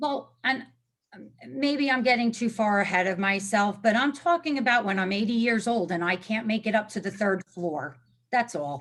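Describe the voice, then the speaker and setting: Lively intonation from a woman with a fairly high pitch, at a moderate pace. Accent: New Jersey. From New Jersey shore, Neptune City. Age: 50s. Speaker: zoning applicant, homeowner. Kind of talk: public hearing testimony. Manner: animated.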